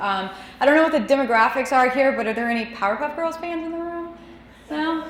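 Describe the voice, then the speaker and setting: A woman speaks loud with an American accent and lively intonation. There is audible room echo. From Texas (DeSoto, south of Dallas). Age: 20s. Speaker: cartoonist, editor and designer. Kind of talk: lecture. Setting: stage with audience, microphone and projector. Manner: loud, voice carries.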